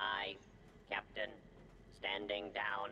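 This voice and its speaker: A man puts on a character voice at a fairly low pitch, with clear background noise behind him. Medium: video game. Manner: clipped, monotone.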